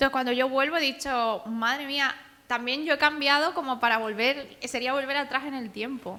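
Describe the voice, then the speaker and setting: A woman's raised, projected voice, high in pitch, with a bright, sharp tone, fairly even intonation and a moderate pace. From Andalusia, Spain. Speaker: author and cartoonist. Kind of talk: public talk.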